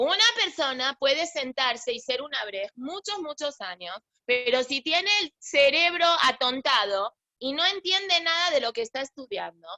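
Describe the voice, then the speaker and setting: A woman uses a raised, projected voice at a high pitch with a bright, sharp tone. Her pitch swings very widely, and the sound is dry and close with no echo. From Argentina. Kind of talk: religious class. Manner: halting, many false starts.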